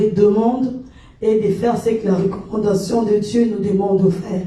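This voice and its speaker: A woman with a Congolese accent and a fairly high pitch, fairly even intonation, noticeable background noise and audible room echo. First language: Lingala (speaking French). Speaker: gospel worship leader. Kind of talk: worship livestream exhortation. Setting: livestream.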